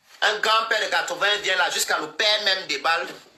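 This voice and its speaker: Amid noticeable background noise and audible room echo, a high-pitched man speaks in an animated tone. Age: 60s. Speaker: social media live streamer. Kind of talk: heated live-stream rant.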